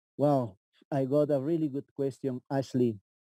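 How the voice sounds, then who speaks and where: A man with an Andean accent, fairly high in pitch, with a dark, mellow tone and a very slow pace, in a dry, close sound with no echo. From Peruvian Andes, south of Cusco. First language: Quechua. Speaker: tour guide. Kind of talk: live guided tour.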